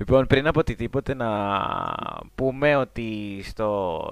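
A man's fairly low voice at a very slow pace, fairly even in intonation, on a very clean recording with a silent background. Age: 20s. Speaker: magazine writer. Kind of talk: casual chat.

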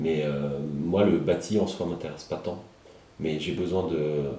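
With noticeable background noise and audible room echo, a man speaks at a fairly slow pace using fairly even intonation. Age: 30s. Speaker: podcast host. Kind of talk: interview conversation. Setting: at the guest's home.

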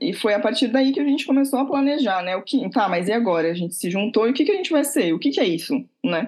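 The pitch swings very widely. It belongs to a woman. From Santos, São Paulo coast, Brazil. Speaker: cultural venue co-founder. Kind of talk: interview.

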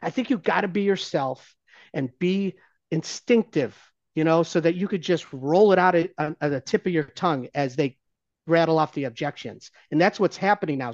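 A man speaks at a moderate pace. His pitch is high, with ordinary variation. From Ohio, US. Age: 50s. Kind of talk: casual interview chat.

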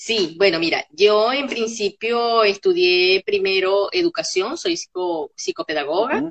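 A woman with a normal speaking voice speaks at medium pitch and a fairly slow pace, with lively intonation. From Caracas, Venezuela. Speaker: psychopedagogue and workshop facilitator. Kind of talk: interview conversation.

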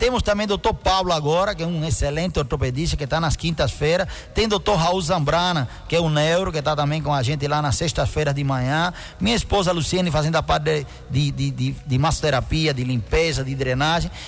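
Speaking at a fairly quick pace, a man uses an ordinary speaking voice with a fairly high pitch and ordinary pitch variation. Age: 50s. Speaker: doctor (dermatologist). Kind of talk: radio interview. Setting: radio studio with live video stream.

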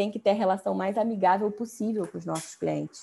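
A woman speaks at a medium pitch in a dark, mellow tone. Her voice is somewhat breathy. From Brazil. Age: 20s. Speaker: business founder. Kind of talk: interview.

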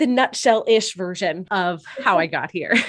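A woman is speaking. Her pace is moderate. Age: 20s. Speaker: author, podcaster and speaker. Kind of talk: casual interview chat.

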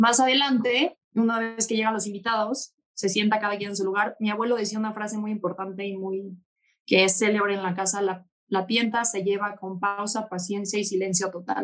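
A woman talks at a moderate pace in an unremarkable speaking voice. Her pitch is medium, with fairly even intonation. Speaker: bull breeder. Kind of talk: casual chat.

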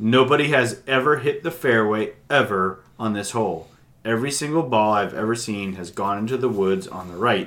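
A man with a medium pitch uses an ordinary speaking voice, keeping a moderate pace and ordinary pitch variation. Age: 40s. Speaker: podcast co-host. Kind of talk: casual chat.

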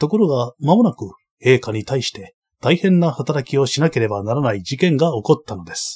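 A man speaks at a moderate pace in a fairly high, somewhat breathy voice with a dark, mellow tone and very wide pitch swings. The sound is dry and close, with no echo. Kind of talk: audiobook reading of a translated novel, first-person narration. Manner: even, measured, formal storytelling pace.

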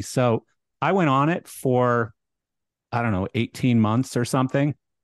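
At a moderate pace, an unremarkable speaking voice with a Canadian accent shows ordinary pitch variation, in a dry, close sound with no echo against a quiet background. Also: man. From Canada. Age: 50s. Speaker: podcast host. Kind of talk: casual chat.

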